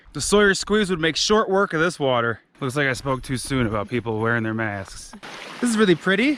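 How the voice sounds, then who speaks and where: A loud man with a fairly high pitch and very wide pitch swings, at a fairly quick pace over noticeable background noise. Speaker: travel vlogger. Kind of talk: casual vlog narration. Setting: outdoors on hiking trail.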